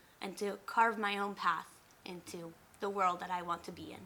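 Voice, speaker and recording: This woman has a Spanish accent and a bright, sharp tone. Her intonation stays monotone and flat. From Mexico and southern California. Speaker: college student. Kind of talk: interview.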